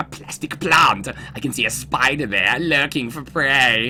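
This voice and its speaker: This is a put-on character voice with ordinary pitch variation. It moves at a moderate pace over clear background noise. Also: man, medium pitch for a man. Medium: game stream. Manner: gloomy, angsty.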